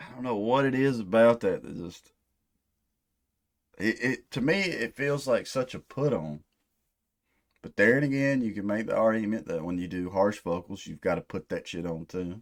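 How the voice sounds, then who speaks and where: On a very clean recording with a silent background, a man with an American accent talks at a moderate pace and medium pitch, his intonation lively and his pauses long and frequent. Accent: hick-sounding rural US accent, others say. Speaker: metalhead music reactor. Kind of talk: music reaction commentary. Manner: casual, profane.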